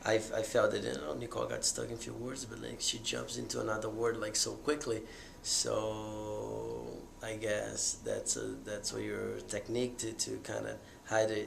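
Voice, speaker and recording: A man speaks at a moderate pace. There is audible room echo along with noticeable background noise. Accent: Portuguese. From Brazil. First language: Portuguese. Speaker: stutterer's boyfriend. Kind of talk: interview. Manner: repetitive, halting.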